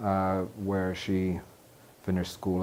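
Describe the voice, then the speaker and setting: This man has an American accent and a very deep, low voice with a dark, mellow tone. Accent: North Atlantic rather than Manhattan. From New York City. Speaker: journalist. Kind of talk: oral history interview. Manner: hesitant, many fillers.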